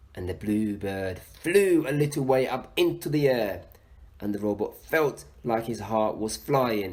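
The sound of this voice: The reading voice is unforced, and its intonation rises and falls in a lively way.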